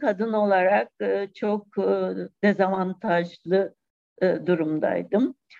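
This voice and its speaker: Her pace very slow, a woman speaks with ordinary pitch variation. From Cyprus. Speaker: poet. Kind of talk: interview.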